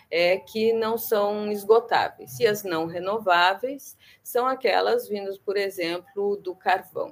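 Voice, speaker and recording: Speaking very slowly with hardly any pauses, a woman keeps a medium pitch with ordinary pitch variation. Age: 50s. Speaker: researcher. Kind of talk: interview.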